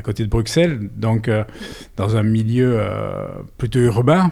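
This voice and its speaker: A man at medium pitch and a fairly slow pace, with ordinary pitch variation. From Belgium, Brussels area. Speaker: winegrower. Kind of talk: interview. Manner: halting, many repetitions.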